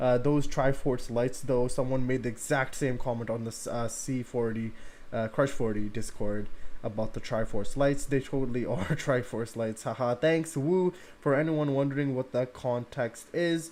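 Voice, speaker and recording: The speaker is male, with a medium-pitched voice. He keeps to a moderate speed. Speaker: music reaction streamer. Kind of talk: casual livestream reaction commentary. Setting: live stream. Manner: animated.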